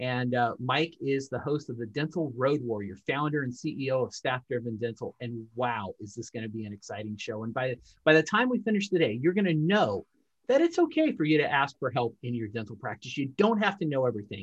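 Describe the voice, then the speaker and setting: Somewhat breathy and lively in intonation, a man speaks at a medium pitch. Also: fairly quick pace. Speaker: podcast host. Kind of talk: interview, conversational.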